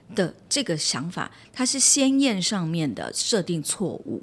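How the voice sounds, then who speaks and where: Her pitch medium and swinging very widely, a woman speaks at a very slow pace. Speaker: speaking coach. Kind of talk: casual chat. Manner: gentle, unhurried.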